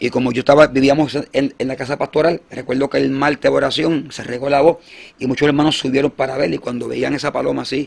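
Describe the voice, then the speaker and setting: The man's voice is pitched fairly high. He speaks at a very fast pace. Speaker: evangelist. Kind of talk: testimony. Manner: halting.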